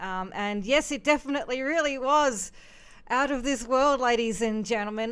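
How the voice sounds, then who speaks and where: On a very clean recording with a silent background, a woman speaks at a high pitch with an Australian accent. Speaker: music reaction show host. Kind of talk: live stream music commentary. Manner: hesitant, many ums.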